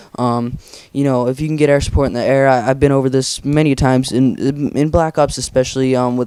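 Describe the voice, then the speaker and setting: The speech moves at a very fast pace. Its tone is dark and mellow. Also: man. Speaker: gaming commentator. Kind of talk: gameplay commentary. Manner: casual, filler-heavy. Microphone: borrowed good-quality microphone.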